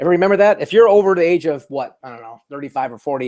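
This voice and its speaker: Talking at a very fast pace, a man's voice sits at a fairly high pitch. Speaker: marketing presenter. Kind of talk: webinar presentation. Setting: online webinar.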